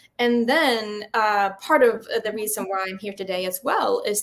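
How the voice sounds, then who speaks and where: Speaking at a moderate pace, a woman has a fairly high pitch. She talks with a Swedish accent. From Sweden. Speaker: film festival founder and filmmaker. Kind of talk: interview. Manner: halting.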